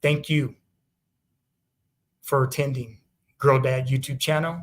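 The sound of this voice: A man talks at a medium pitch. His pace is slow and his intonation fairly even.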